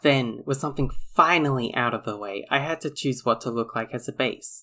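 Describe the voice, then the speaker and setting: A man with an Australian accent speaks at a fairly quick pace. His pitch is fairly high, on a very clean recording with a silent background. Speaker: storytime animator YouTuber. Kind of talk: casual vlog narration.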